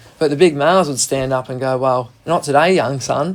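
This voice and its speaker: A man with a strong Australian accent talks at a fairly quick pace in a fairly high pitch. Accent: broad Australian. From Australia, Gippsland region of Victoria. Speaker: wildlife carer. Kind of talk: radio interview. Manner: casual, colloquial.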